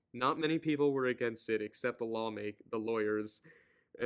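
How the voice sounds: Here is a natural reading voice with ordinary pitch variation.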